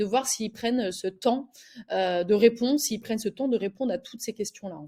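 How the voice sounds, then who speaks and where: Lively intonation lifts a woman's fairly high, dark and mellow voice on a very clean recording with a silent background. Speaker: recruiter. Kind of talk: tutorial. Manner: fast; hesitant, many filler words.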